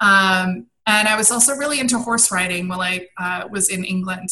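Bright and sharp in tone, a woman speaks with an American accent at a medium pitch. Her pace is moderate. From Washington D.C. area, after childhood in Belgium and London. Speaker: personal style coach and entrepreneur. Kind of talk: interview.

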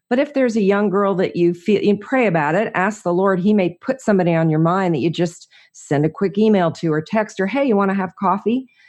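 A woman at a medium pitch talks at a fairly quick pace with hardly any pauses, in an ordinary speaking voice. Her loudness stays very even, with ordinary pitch variation. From New Jersey. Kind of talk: interview, personal testimony.

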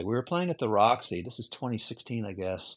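In an ordinary speaking voice, a man at medium pitch talks at a fairly quick pace with lively intonation over a quiet background. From Virginia, US. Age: 60s. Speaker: musician. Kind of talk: interview conversation.

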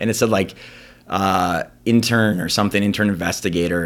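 With an American accent, a man speaks at a very fast pace, with a fairly low pitch and fairly even intonation, in a very clean recording with a silent background. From Wisconsin, Green Bay. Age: 40s. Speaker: lawyer. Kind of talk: casual chat.

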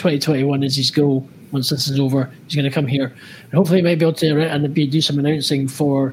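With a Scottish accent, a man speaks at a fairly quick pace in a fairly high pitch, his intonation monotone and flat. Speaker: podcast host. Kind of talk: casual interview chat. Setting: live stream during lockdown. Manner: chatty, rambling, informal.

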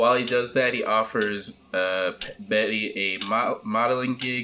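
Here is a man with an ordinary speaking voice and a medium pitch. He talks at a fairly slow pace with ordinary pitch variation. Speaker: podcast co-host.

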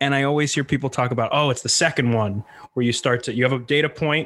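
A man speaks at a very fast pace with fairly even intonation. Noticeable background noise runs under his voice. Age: 20s. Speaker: comedian and podcast host. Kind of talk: casual interview chat.

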